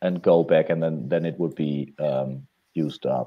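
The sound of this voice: A man talking at a fairly slow pace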